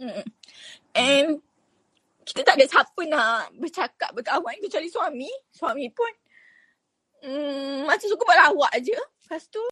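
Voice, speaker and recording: Raised and projected, a woman's bright, sharp voice at an extremely high pitch swings very widely, moving at a fairly slow pace with long, frequent pauses in a dry, close sound with no echo. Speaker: entrepreneur. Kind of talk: interview testimony.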